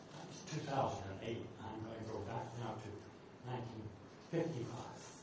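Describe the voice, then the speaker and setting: With noticeable background noise behind him, a man talks at a moderate pace, his medium pitch showing ordinary variation. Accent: American. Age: 80s+. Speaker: poet. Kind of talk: talk between poems at a reading.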